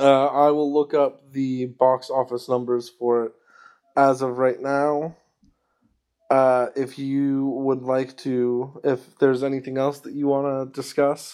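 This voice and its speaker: At a very slow pace, a man speaks at a medium pitch in a dark, mellow tone, his intonation monotone and flat. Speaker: podcast host. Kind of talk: casual chat.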